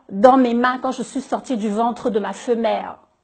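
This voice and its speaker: A woman's high voice with fairly even intonation. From Cameroon. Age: 50s. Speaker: business owner. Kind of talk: public appeal. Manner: halting, repeating words.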